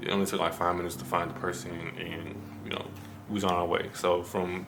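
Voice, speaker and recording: A man with a Memphis accent speaks quietly at a fairly quick pace. His very deep, low voice carries audible room echo. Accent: Southern US, Memphis. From US South, Memphis, Tennessee. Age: 20s. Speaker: vlogger. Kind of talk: casual vlog talk to camera. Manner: fast; low, quiet.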